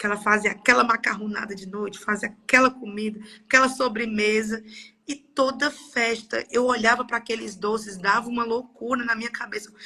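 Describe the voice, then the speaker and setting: Her bright, sharp tone moves at a fairly quick pace while the woman keeps her intonation fairly even. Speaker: participant in a live session. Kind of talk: personal testimony. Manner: halting, with repetitions.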